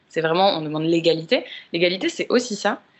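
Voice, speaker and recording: A woman with a normal speaking voice at a medium pitch. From Paris, France. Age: 30s. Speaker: podcast guest. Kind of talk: casual chat.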